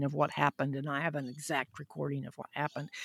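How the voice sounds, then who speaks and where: A woman speaks in a Southern US accent, with a dry, close sound with no echo and a very clean recording with a silent background. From US South, Huntsville, Alabama. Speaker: physician and science podcaster. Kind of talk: interview.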